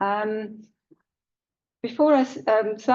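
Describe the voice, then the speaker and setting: A woman speaks with a British accent. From India, moved to UK at seven. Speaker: high sheriff, keynote speaker. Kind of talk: keynote speech. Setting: conference hall with audience.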